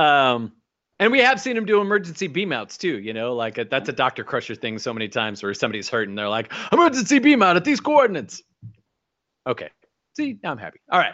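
A man's fairly high voice with vocal fry, an animated tone, very wide pitch swings and a very fast pace. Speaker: podcast host. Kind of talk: casual chat.

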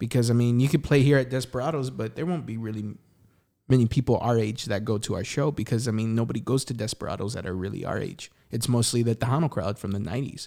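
A man with a San Antonio accent talks at a very fast pace in a medium pitch, his tone dark and mellow and his pitch varying in an ordinary way, on a very clean recording with a silent background. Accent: Texan, San Antonio. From San Antonio, Texas. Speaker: singer-songwriter. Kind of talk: casual interview chat.

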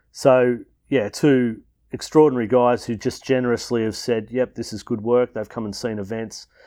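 A man with an Australian accent speaks at a moderate pace in a medium pitch, with fairly even intonation. His loudness swings widely across a very clean recording with a silent background. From Melbourne, Australia. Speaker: founder of a school family program. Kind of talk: interview.

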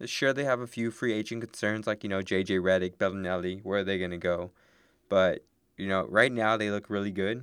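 This man has a normal speaking voice, fairly low in pitch, at a fairly quick pace. The recording is very clean, with a silent background. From Texas border town. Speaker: sports podcast co-host. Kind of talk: casual chat.

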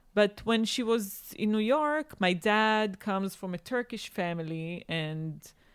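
Against a silent background in a very clean recording, a woman with an Israeli accent speaks at a very slow pace with lively intonation. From Israel (born in Boston, raised in Tel Aviv). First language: Hebrew. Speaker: chef and food journalist. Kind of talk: interview conversation.

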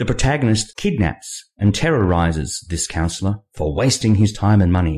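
Over a very clean recording with a silent background, a man talks at a fairly quick pace with lively intonation, his fairly low, somewhat breathy voice carrying a dark, mellow tone. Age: 50s. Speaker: novelist hosting own podcast. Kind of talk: monologue podcast.

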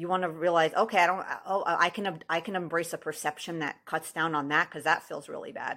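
Fairly quick, near-pauseless speech from a woman with a fairly low pitch, a bright, sharp tone and monotone, flat intonation, on a very clean recording with a silent background. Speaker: life coach and podcast host. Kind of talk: solo monologue podcast. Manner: casual, conversational with frequent fillers.

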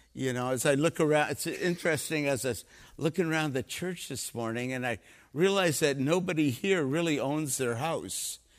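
This is a plain, everyday voice with ordinary pitch variation at a moderate pace. The recording is very clean, with a silent background. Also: man, fairly high pitch for a man. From Canada. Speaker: missionary preacher. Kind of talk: sermon. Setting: church.

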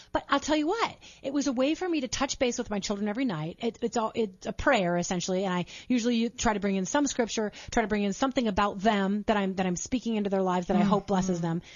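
A very fast pace with ordinary pitch variation. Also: woman, medium pitch for a woman. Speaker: radio show guest, mom show host. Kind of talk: conversational, faith-based parenting advice. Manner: fast talker.

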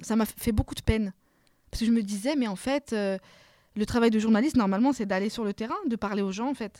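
In a very clean recording with a silent background and a dry, close sound with no echo, a woman speaks at a moderate pace with a fairly high pitch and a dark, mellow tone. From France, Paris suburbs (Seine-Saint-Denis). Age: 30s. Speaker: novelist. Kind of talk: interview. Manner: hesitant, many repetitions.

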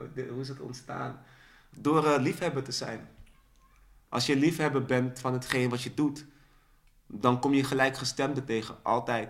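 A man's medium-pitched voice at a moderate pace, with fairly even intonation and long, frequent pauses. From Netherlands, raised in Dordrecht, born in Suriname. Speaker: spoken word poet. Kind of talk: casual interview. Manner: halting, repeats words.

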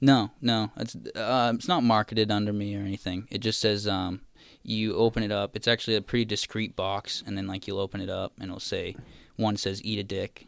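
On a very clean recording with a silent background, a man with a normal speaking voice talks at a fairly quick pace and fairly low pitch, his intonation fairly even and the sound dry and close with no echo. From Massachusetts, South Shore (Marshfield/Plymouth). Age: 20s. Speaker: meme creator. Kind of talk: casual chat.

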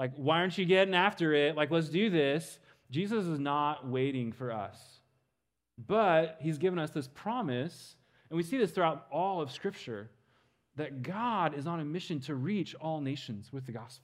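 With an American accent, a man talks at a moderate pace in a normal speaking voice, fairly high in pitch, with lively intonation. The recording is very clean, with a silent background. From Western Kansas. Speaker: missions speaker. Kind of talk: sermon.

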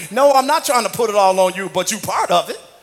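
Very fast and animated, a man with a high-pitched voice and ordinary pitch variation talks over noticeable background noise. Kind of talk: sermon with call-and-response. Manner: animated, rousing, crowd-working.

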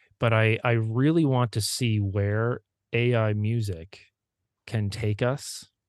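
In a Maritime Canadian accent, a man speaks at a very slow pace and very even loudness against a quiet background. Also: medium pitch for a man, fairly even intonation. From Prince Edward Island, Canada. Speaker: music teacher and author. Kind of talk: casual interview conversation.

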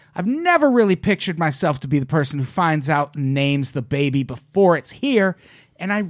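In a very clean recording with a silent background, a man speaks at a fairly quick pace in an ordinary speaking voice. His pitch is fairly high and his intonation lively. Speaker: podcast host. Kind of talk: casual banter, comedy advice show. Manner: bantering, joking.

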